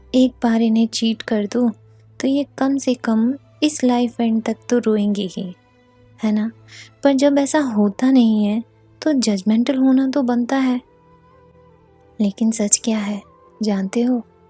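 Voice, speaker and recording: A woman's fairly high voice with fairly even intonation, long and frequent pauses, a dry, close sound without echo, and music behind it. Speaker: poet. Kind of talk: spoken word poetry.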